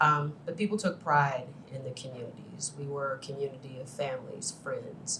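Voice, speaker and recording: In an American accent, a woman with a very deep, low pitch speaks at a moderate pace with ordinary pitch variation and audible room echo. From US Midwest, Chicago far south side. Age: 50s. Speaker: finance executive, panelist. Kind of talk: panel talk.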